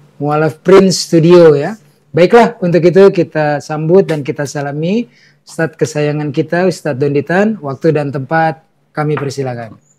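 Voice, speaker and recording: This man's voice sits fairly high and has a dark, mellow tone. He talks at a moderate pace. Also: ordinary pitch variation. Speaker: Islamic talk show host. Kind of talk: religious talk show. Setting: studio with live audience. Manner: quiet.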